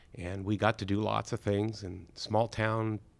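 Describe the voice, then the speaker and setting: On a very clean recording with a silent background, a man with an American accent speaks in an unremarkable speaking voice, fairly low in pitch, at a moderate pace with fairly even intonation. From northern California. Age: 60s. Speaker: school administrator. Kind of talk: interview.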